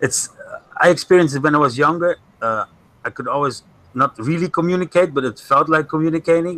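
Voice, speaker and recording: Speaking at a fairly quick pace with a non-native accent, the voice has a bright, sharp tone. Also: man. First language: not English. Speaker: flat earther guest. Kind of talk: casual chat. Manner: halting.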